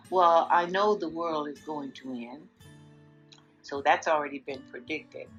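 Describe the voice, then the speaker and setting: Music plays in the background as a woman with a very deep, low voice speaks at a fairly slow pace, with ordinary pitch variation and long, frequent pauses. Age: 80s+. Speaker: grandmother. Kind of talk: interview answer. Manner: outspoken, vivacious.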